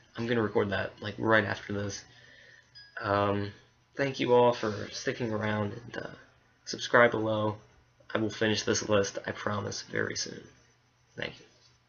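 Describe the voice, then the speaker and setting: Over noticeable background noise, a man with a fairly low pitch speaks at a moderate pace in a monotone, flat way, leaving long, frequent pauses. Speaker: YouTuber. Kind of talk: casual vlog monologue. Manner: hesitant, many fillers.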